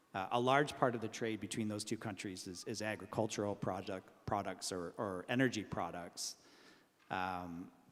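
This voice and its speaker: With a Canadian accent, a man speaks in a plain, everyday voice, fairly low in pitch, with fairly even intonation at a moderate pace. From Canada. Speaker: arbitration lawyer, conference panelist. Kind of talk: panel discussion.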